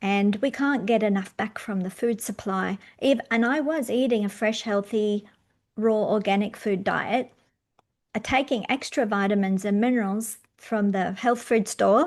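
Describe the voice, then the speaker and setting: An ordinary speaking voice from a woman, fairly high in pitch with ordinary pitch variation, at a fairly slow pace over a quiet background. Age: 60s. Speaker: podcast host and magnesium supplier. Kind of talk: interview.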